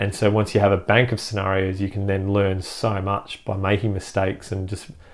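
A man with an Australian accent, fairly low pitch, and fairly quick pace, on a very clean recording with a silent background. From Perth, Western Australia. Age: 30s. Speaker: army veteran and medic turned business owner. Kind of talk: casual interview. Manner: halting, many fillers.

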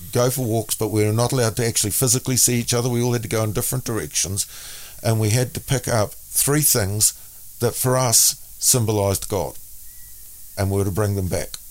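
A man with a New Zealand accent speaks at a moderate pace in a fairly low voice with ordinary pitch variation. His loudness stays very even, and the recording is very clean with a silent background. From New Zealand (Auckland). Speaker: minister and author. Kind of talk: interview. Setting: studio.

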